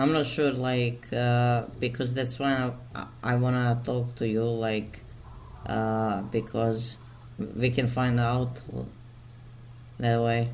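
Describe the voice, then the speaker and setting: With a Slavic accent, a man speaks at a very slow pace in monotone, flat intonation, with long, frequent pauses and audible room echo. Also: medium pitch for a man, very even loudness. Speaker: mental health video maker. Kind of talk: casual chat. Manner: halting, many fillers.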